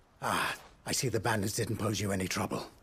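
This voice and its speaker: Doing a put-on character voice, a man speaks very fast in a raspy, fairly low tone, with monotone, flat intonation and very even loudness. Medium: video game. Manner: earnest, measured.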